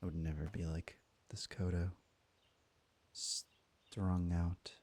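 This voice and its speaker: A soft-spoken man with a very deep, low pitch, a dark, mellow tone and fairly even intonation, in a dry, close sound with no echo. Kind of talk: ASMR soft-spoken; casual gaming commentary.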